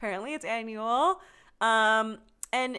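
On a very clean recording with a silent background, a woman with an American accent speaks at a moderate pace in a bright, sharp tone with ordinary pitch variation. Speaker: podcast host. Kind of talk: casual chat.

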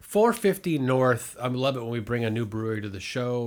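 On a very clean recording with a silent background, a man uses an unremarkable speaking voice at medium pitch with ordinary pitch variation. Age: 50s. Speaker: podcast co-host. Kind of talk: casual chat.

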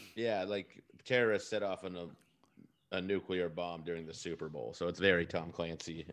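A man with an American accent and a very deep, low pitch talks with hardly any pauses. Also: ordinary pitch variation, moderate pace. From Texas. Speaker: comedian. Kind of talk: casual chat.

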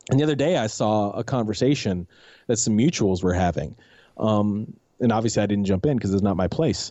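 A man with a normal speaking voice talks at a fairly quick pace, in a fairly low pitch with ordinary pitch variation and very even loudness. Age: 40s. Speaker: podcast guest and video creator. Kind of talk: casual chat.

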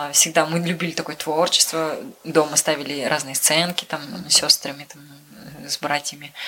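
Noticeable noise sits behind speech delivered at a moderate pace. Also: woman. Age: 20s. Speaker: car mechanic, former journalist. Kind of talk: interview.

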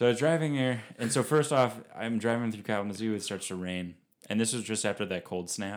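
On a very clean recording with a silent background, a man talks at a fairly quick pace with ordinary pitch variation. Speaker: composer and graduate student. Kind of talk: casual chat.

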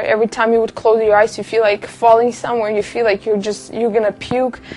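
With noticeable background noise behind her, a woman speaks at a fairly high pitch in a monotone, flat intonation. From Kazakhstan. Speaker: testimony giver. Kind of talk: testimony.

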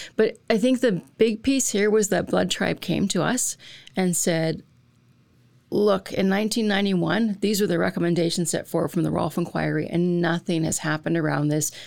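Speaking at a moderate pace with a Canadian accent, a woman uses a fairly low pitch, ordinary pitch variation and vocal fry. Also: very clean recording, silent background. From central Alberta, Canada. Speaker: college dean. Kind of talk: panel interview.

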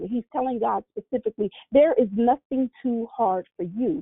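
A woman speaks in a plain, everyday voice at fairly high pitch. Her pace is moderate and her intonation lively. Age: 50s. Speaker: preacher. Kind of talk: sermon.

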